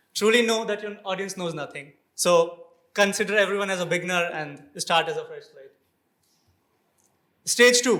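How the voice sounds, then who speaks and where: At a moderate pace, a man speaks in a high pitch with a bright, sharp tone amid audible room echo. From India. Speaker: conference speaker. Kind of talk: lightning talk. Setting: stage with audience. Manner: animated.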